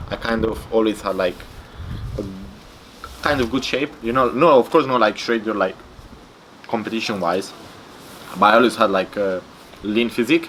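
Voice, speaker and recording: With a Romanian accent, a man at a medium pitch speaks at a moderate pace with ordinary pitch variation and long, frequent pauses, over noticeable background noise. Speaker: bodybuilder. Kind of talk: interview. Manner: casual, filler-heavy and halting.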